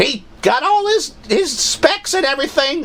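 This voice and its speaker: It's a put-on character voice, pitched high. The pace is moderate, with clear background noise. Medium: comedy sketch. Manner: hesitant, halting.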